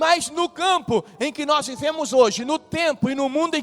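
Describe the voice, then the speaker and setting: Against noticeable background noise, a man speaks in an animated tone at a fairly slow pace with ordinary pitch variation. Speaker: pastor. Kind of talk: sermon.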